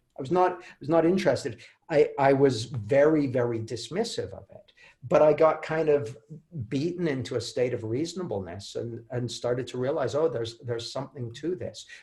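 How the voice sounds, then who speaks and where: Lively intonation and big swings in loudness come through with a Canadian accent. The voice is somewhat breathy, at a fairly quick pace. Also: man, fairly high pitch for a man. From Canada. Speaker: author and coach. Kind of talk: interview. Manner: halting, many repeated words.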